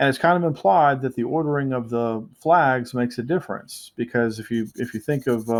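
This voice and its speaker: A man speaks at a medium pitch. His pitch variation is ordinary. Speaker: math teacher. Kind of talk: lecture. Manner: fast; hesitant, many fillers.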